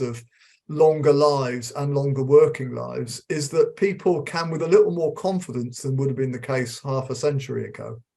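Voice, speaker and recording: A dark, mellow tone with some breathiness, from a man. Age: 60s. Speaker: emeritus professor of occupational psychology. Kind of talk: interview. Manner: halting, many repetitions.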